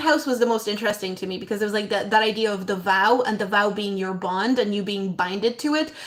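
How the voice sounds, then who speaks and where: Over noticeable background noise, a woman speaks at a fairly quick pace with a fairly high pitch and ordinary pitch variation. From abroad, moved to Ireland at about eleven. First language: not English. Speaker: astrologer. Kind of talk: casual live stream talk. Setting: live stream. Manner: hesitant, many fillers.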